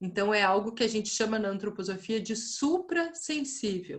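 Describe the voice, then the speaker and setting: In a southern Brazilian accent, a woman speaks with lively intonation and a fairly high pitch. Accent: gaúcho (southern Brazilian). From southern Brazil, Rio Grande do Sul. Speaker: lecturer in anthroposophy. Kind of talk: online lecture. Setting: video call. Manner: conversational, with hesitations.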